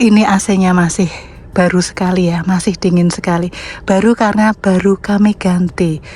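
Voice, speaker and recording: She speaks with a Javanese accent at a medium pitch. Her intonation stays fairly even. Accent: Javanese, noticeable. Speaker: private car seller, vlogger. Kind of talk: casual product walkthrough vlog. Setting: inside and around a parked car, outdoors under a tree. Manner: casual, chatty.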